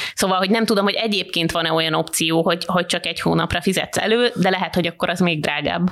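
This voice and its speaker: With noticeable background noise behind her, a woman speaks at a very fast pace with hardly any pauses, her pitch fairly low and her intonation fairly even. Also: very even loudness. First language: Hungarian. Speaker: podcast host. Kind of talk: casual chat.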